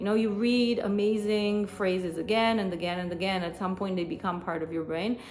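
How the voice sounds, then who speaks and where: Amid audible room echo, a woman with a Romanian accent speaks at medium pitch with ordinary pitch variation. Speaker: podcast host. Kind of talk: solo podcast monologue. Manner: hesitant with many fillers.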